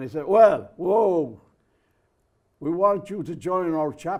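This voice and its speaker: A man with an Irish accent talks very slowly at a high pitch, his pitch varying an ordinary amount while his loudness swings widely. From Ireland. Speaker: merchant mariner, poet. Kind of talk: interview storytelling. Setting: studio.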